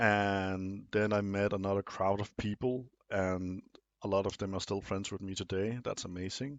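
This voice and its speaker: Speaking at a moderate pace with a non-native accent, a man with a fairly low voice keeps a monotone, flat intonation. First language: not English. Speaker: video essay host. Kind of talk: monologue commentary. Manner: some hesitations and fillers.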